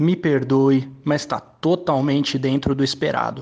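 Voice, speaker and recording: A man speaks at a fairly high pitch. His intonation is fairly even. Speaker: football fan pundit. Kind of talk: football commentary. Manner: emphatic.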